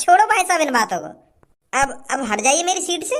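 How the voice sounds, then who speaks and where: A squeaky, put-on character voice at a fairly quick pace. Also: woman, extremely high pitch for a woman. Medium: cartoon. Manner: meek, rambling.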